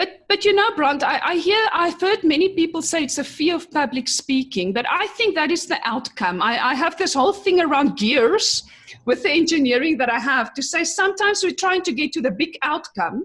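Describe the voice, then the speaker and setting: A woman with a non-native accent speaks at a moderate pace with hardly any pauses. Her pitch is extremely high and her intonation lively. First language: not English. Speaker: chemical engineer and business coach. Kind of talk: interview conversation.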